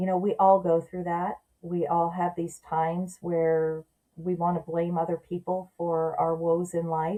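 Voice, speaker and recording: A woman speaks at a fairly slow pace in a fairly low pitch. Her tone is dark and mellow, and her intonation is monotone and flat. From Southern California. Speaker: adoption story guest, mother. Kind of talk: podcast interview.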